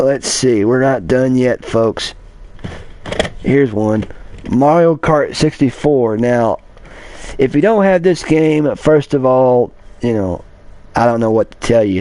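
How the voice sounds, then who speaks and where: A man at a medium pitch with an American accent, fairly slow with long, frequent pauses and ordinary pitch variation. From Kentucky. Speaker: blind gamer YouTuber. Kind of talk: casual collection showcase livestream. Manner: halting, repetitive.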